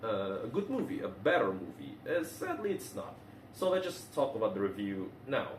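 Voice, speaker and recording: A man with a non-native accent, amid noticeable background noise and audible room echo. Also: moderate pace. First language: not English. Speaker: movie reviewer. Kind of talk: casual video review. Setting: recording at home in a bathroom. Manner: halting, many fillers and restarts.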